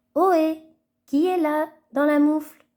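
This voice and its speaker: A woman puts on a character voice, pitched high. She speaks at a fairly slow pace in a monotone, flat intonation. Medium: read story.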